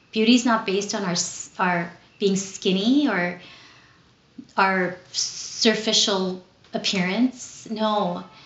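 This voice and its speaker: Very slow speech from a woman at medium pitch, broken by long, frequent pauses, fairly even in intonation, with noticeable background noise. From Southern California (Los Angeles), born in Philippines. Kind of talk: retreat talk. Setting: recorded on camera.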